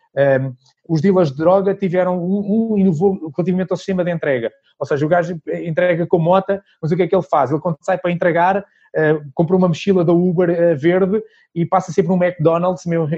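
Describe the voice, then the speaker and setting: Talking at a very fast pace, a man uses a high pitch and fairly even intonation. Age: 40s. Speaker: sales consultant and trainer. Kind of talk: casual interview.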